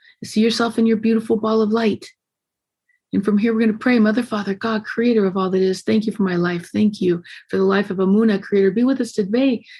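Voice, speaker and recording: A woman with a medium-pitched, somewhat breathy voice talks over a quiet background. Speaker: podcast host. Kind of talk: guided meditation. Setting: video call. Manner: fast; animated.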